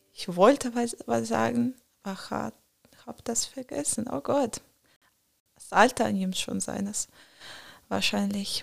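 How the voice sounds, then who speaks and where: A woman with a non-native accent talks at a very slow pace. Her speech has long, frequent pauses. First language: not German (speaking German). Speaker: student at a preparatory college. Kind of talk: casual interview chat. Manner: halting, many fillers.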